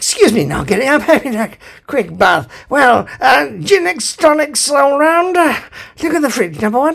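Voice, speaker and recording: A man talks softly in a put-on character voice. His pitch is extremely high, and his pace is moderate. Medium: read story. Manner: cheery, vague, soft-spoken.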